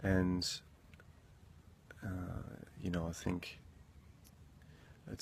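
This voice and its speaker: A man speaks softly in a very deep, low pitch. His voice is somewhat breathy. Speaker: motivational vlogger. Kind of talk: motivational monologue. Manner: soft-spoken; halting.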